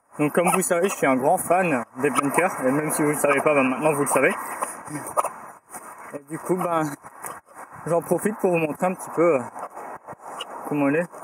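A man with a husky, rough edge and a fairly high pitch speaks at a moderate pace, with ordinary pitch variation and long, frequent pauses.

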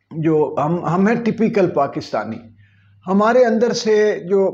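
A man's dark, mellow tone unfolds at a very slow pace. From Pakistan. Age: 50s. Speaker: political commentator and poet; political commentator, poet. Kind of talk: opinion monologue. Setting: video channel. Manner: animated. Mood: earnest, pained. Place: home room. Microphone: lapel.

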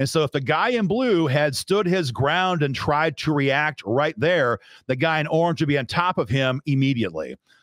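Over a quiet background and with a dry sound free of echo, a man with a Midwestern American accent speaks at a fairly high pitch, with lively intonation and hardly any pauses. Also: moderate pace, very even loudness. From US Midwest, northwest Iowa. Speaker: gun rights advocate, video commentator; video commentator. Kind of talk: video commentary breakdown. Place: studio. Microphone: studio mic.

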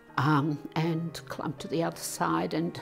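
Faint music plays in the background. A woman with a fairly low pitch talks at a fairly slow pace. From Serbia, Russian parents, then Australia. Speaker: interviewee recounting her life; interviewee. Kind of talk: personal testimony. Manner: hesitant, with fillers. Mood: reflective, emotional memories. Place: home room.

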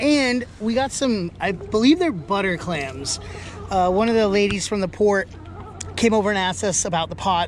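A woman at a moderate pace, in a dry sound with no echo and light background noise. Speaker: crabbing vlogger. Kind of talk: casual vlog chat. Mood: excited, upbeat. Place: waterside. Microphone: phone near.

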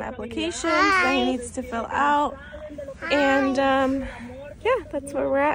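A woman's voice amid loud background noise. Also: dry sound with no echo. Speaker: mother vlogger. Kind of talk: casual vlog chat. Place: car. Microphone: phone near.

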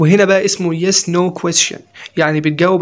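A man talks at a moderate pace in monotone, flat intonation, with noticeable background noise behind him. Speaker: English teacher. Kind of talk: lecture.

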